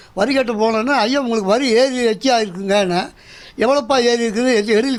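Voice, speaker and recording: A man's extremely high voice with ordinary pitch variation. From Coimbatore, Tamil Nadu. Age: 70s. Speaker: elderly homeowner and security guard. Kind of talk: news interview testimony.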